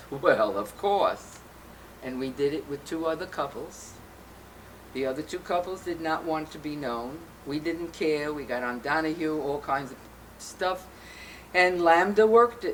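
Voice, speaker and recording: Here a woman with a New York accent speaks at a very deep, low pitch with lively intonation. Her pace is fairly slow, with long, frequent pauses. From Brooklyn, New York. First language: Yiddish. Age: old. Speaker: LGBTQ rights activist. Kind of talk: interview.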